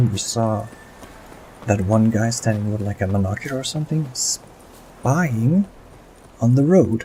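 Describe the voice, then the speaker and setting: A man's medium-pitched voice amid noticeable background noise. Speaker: gaming commentator. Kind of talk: let's play commentary. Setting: home recording. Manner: soft-spoken, sometimes whispered.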